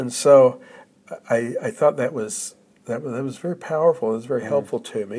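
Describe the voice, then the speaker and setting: This man talks with an American accent at a medium pitch. His tone is dark and mellow. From Oklahoma, US. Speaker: retired literature professor and author. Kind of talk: interview, personal reflection. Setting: visiting Australia.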